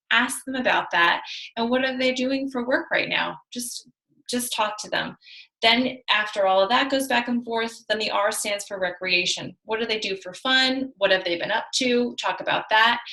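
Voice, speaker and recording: A woman's bright, sharp voice, fairly high in pitch, with ordinary pitch variation. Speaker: team leader of fitness coaches. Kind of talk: team call presentation. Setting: video call. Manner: fast.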